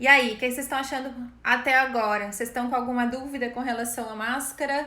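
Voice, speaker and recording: A woman talks very fast in a high-pitched, bright, sharp tone with monotone, flat intonation. Audible room echo surrounds her voice. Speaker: image consultant. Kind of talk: live online class. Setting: live stream.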